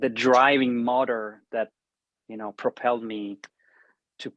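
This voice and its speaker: Flat and monotone, a man speaks fairly slowly in an Italian accent against a quiet background. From Italy. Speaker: band founder, guitarist and composer. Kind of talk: interview conversation. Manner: hesitant with many fillers.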